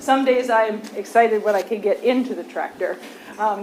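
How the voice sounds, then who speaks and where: Noticeable background noise surrounds a woman speaking at a moderate pace with a fairly high pitch and fairly even intonation. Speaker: agriculture professor and farmer. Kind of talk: presentation to county commissioners. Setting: county commissioners meeting, standing at a microphone. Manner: loud.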